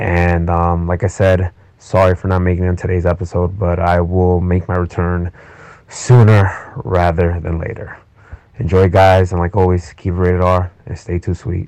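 Over noticeable background noise, a man with a very deep, low pitch talks at a moderate pace in a monotone, flat intonation. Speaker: wrestling podcast host. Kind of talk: recorded intro message.

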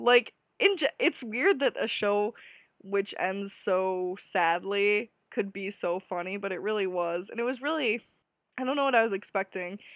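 A woman with an American accent uses a normal speaking voice at a medium pitch and moderate pace, heard as dry, close sound with no echo in a very clean recording with a silent background. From US Midwest. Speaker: podcast host. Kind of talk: casual solo podcast monologue. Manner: chatty, laughing often.

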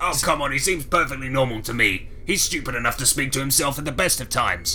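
A put-on character voice at a very fast pace, with clear background noise. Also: man, fairly high pitch for a man. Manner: angry, sweary, gloating.

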